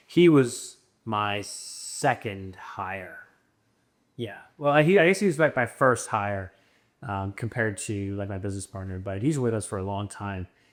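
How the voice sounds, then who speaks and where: On a very clean recording with a silent background, a man talks at a fairly slow pace in a plain, everyday voice, his pitch fairly low with ordinary variation. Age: 20s. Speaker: business owner. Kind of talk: casual chat. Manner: casual, filler-heavy.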